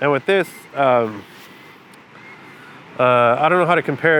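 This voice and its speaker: Noticeable background noise sits behind a man of medium pitch. His pace is moderate and his pitch varies in an ordinary way. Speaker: photographer, vlogger. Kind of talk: casual vlog talk to camera. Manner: halting, many fillers.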